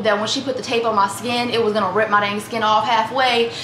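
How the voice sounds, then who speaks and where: A high-pitched woman's voice, with light background noise and audible room echo. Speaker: vlogger. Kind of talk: casual vlog chat. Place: kitchen. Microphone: camera far.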